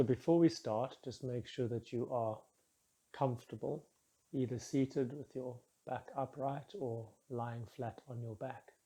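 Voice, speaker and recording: A man speaks at a medium pitch in a calm, soothing tone that is dark and mellow. His voice is somewhat breathy, with fairly even intonation. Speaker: meditation guide. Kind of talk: guided meditation. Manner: slow, calm, soothing.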